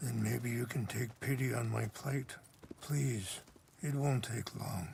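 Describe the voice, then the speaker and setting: In a put-on character voice, a man speaks with a raspy, gentle tone at a medium pitch. His loudness stays very even and his pace is fairly slow. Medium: video game. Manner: slow, gentle, reflective.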